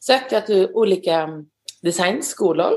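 This woman has a plain, everyday voice at a medium pitch. Her pitch variation is ordinary. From Sweden, northeastern Skåne. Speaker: glove designer. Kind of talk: interview.

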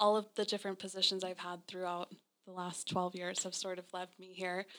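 Speaking in an American accent, a woman holds a medium pitch with flat, monotone intonation. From Naples, Florida (US South). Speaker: interior designer. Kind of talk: interview. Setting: design studio.

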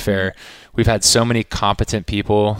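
In a very clean recording with a silent background, a man with a fairly low pitch speaks in a monotone, flat delivery at a moderate pace. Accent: American. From Texas, Austin area. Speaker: sports event host. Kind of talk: casual interview. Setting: media headquarters studio. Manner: casual, with many fillers.

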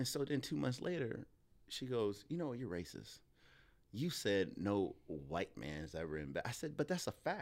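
A man at a medium pitch talks at a moderate pace, his pitch swinging very widely. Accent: American. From Illinois, Joliet near Chicago. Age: 40s. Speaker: filmmaker and comedian. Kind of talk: casual chat. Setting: studio. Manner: animated.

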